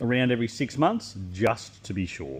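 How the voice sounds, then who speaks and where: Lively intonation from a man speaking with an Australian accent. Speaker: equipment maker demonstrating product. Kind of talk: product walkthrough. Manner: fast; casual.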